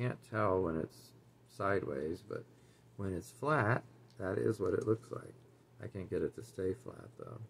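A man with a fairly low pitch and vocal fry speaks at a fairly slow pace with lively intonation, big swings in loudness, and long, frequent pauses. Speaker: doll collector YouTuber. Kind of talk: casual haul review. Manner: casual, chatty. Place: home room. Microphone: webcam.

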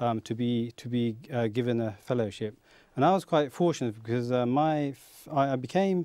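The tone is dark and mellow, with ordinary pitch variation at a moderate pace. The sound is dry with no echo over a quiet background. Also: man, medium pitch for a man. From Kent, England (born in Bangladesh); Kent, England. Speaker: aerospace engineer; talk show guest. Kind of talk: interview. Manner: hesitant. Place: studio. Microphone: lapel.

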